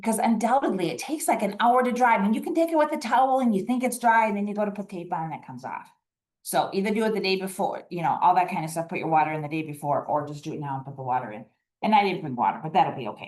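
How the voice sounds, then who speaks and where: A woman talks at a very fast pace and a medium pitch. Her pitch swings very widely, and her loudness swings greatly too. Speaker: master gardener volunteer demonstrator. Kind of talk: live demonstration workshop. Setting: room with in-person and online audience.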